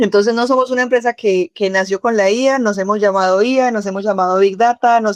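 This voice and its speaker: A woman's fairly high, fairly quick voice in a Cali accent, with a dry, close sound and no echo. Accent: Cali (caleño) Colombian. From Colombia, Cali. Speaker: tech company CEO and co-founder. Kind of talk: podcast interview.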